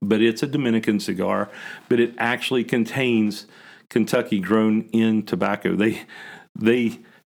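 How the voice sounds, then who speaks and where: A man with an American accent has an ordinary speaking voice in a medium pitch. He talks at a moderate pace with ordinary pitch variation. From West Virginia, Huntington. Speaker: cigar lounge owner. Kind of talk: podcast interview.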